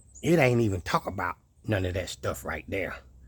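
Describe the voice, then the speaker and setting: Vocal fry marks a man's fairly slow speech. His pitch moves in very wide swings. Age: 60s. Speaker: YouTuber, homesteader. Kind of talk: casual vlog monologue. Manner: animated, preachy.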